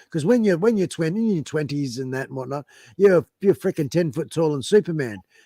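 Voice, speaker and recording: In a very clean recording with a silent background and a dry, close sound with no echo, a man with an Australian accent speaks at a fairly quick pace, his fairly high pitch and dark, mellow tone carried by lively intonation. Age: 60s. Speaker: musician and biker, live stream guest. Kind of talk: casual live-stream interview. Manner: halting, many fillers and restarts.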